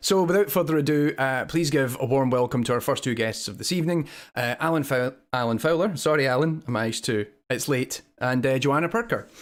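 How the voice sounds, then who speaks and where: A man with a Scottish accent talks at a fairly quick pace with ordinary pitch variation. The recording is very clean, with a silent background. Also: fairly high pitch for a man. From Scotland. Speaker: web show co-host, games academic. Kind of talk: casual chat.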